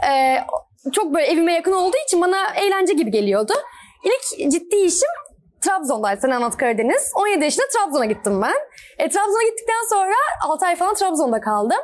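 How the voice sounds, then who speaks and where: A woman speaks at an extremely high pitch with very wide pitch swings. Her pace is fairly quick and her loudness stays very even. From Turkey, Izmir. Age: 20s. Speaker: actress and film student. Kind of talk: casual interview. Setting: inside a store in a shopping mall.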